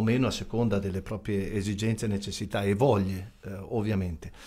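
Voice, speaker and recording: A man's fairly low, somewhat breathy voice at a very fast pace. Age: 60s. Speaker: volunteer ambulance association president; guest. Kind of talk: radio interview. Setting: radio studio. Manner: formal. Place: studio. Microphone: studio mic.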